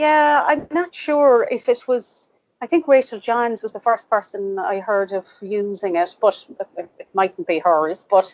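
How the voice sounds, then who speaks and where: In an Irish accent, a woman with fairly high pitch speaks at a fairly slow pace, her pitch swinging very widely. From Ireland, Cork. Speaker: author. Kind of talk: interview.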